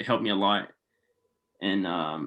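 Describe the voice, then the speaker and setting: A man speaks with noticeable vocal fry. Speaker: clothing brand founder. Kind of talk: casual chat. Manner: fast.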